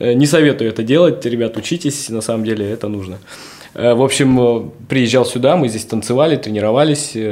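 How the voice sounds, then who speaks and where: Noticeable background noise behind a man's voice of medium pitch. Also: ordinary pitch variation, moderate pace. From Siberia (Novosibirsk). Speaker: streetwear brand founder and dancer. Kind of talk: casual interview. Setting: hotel suite studio.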